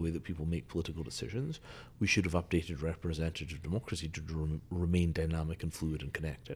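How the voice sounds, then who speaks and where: A man with a Scottish accent and a very deep, low pitch, on a very clean recording with a silent background. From Scotland. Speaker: engineer and futurist. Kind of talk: casual chat.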